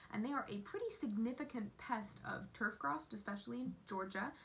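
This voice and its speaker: Noticeable background noise sits behind a woman with an American accent. She talks at a fairly quick pace and a fairly high pitch. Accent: switches between British and American. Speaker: entomology video host. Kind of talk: educational vlog narration.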